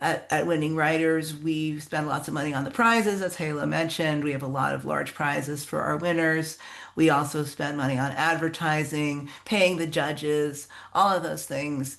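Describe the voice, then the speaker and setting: A woman talks at a moderate pace in a very deep, low pitch with fairly even intonation. Audible room echo surrounds her voice. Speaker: contest organizer, writer. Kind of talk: workshop talk.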